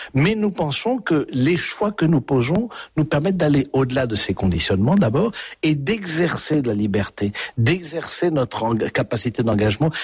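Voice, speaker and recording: A man talks fairly quickly in a somewhat breathy voice, his pitch swinging very widely. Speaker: priest, author and former prison chaplain. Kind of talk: radio interview. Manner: hesitant, with frequent fillers and repetitions.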